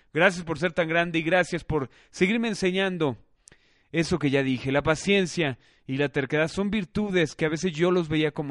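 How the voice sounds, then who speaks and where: Delivered in a Mexican accent with ordinary pitch variation, the voice has a dry, close sound with no echo against a quiet background. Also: man. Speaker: podcast host. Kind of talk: casual chat.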